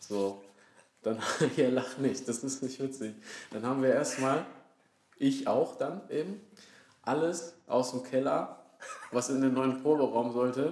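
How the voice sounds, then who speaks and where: A man of medium pitch speaks at a fairly slow pace with fairly even intonation. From Franconia, Germany (Würzburg area). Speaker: band musician, podcast co-host. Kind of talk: casual chat. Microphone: quieter, sits farther from the mic.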